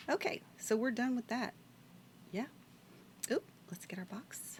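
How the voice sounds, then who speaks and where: The speaker has a Louisiana accent. The delivery is fairly slow. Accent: US Southern (Louisiana). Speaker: video game streamer. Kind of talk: casual gameplay stream chat. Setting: live stream. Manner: casual, thinking aloud.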